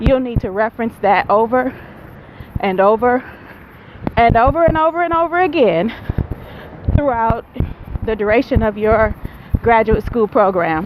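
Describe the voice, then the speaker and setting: A woman's fairly high voice with an American accent, long and frequent pauses, and noticeable background noise. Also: lively intonation, moderate pace. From Buffalo, New York. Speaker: vlogger and graduate student. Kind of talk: casual vlog talk. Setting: outdoors, walking in neighborhood. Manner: loud.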